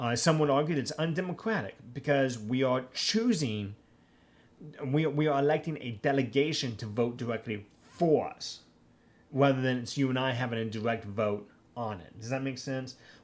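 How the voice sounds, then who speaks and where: A man at a medium pitch speaks with ordinary pitch variation and big swings in loudness, with audible room echo around him. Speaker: professor. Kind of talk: lecture. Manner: fast.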